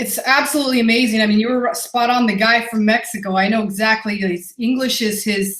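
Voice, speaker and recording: At a fairly quick pace, a woman speaks at a fairly high pitch. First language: not English. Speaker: online business coach. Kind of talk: webinar presentation. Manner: animated.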